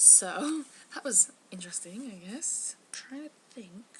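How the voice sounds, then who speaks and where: The voice carries an English accent and very wide pitch swings, with noticeable background noise. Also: woman. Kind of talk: casual novel excerpt reading.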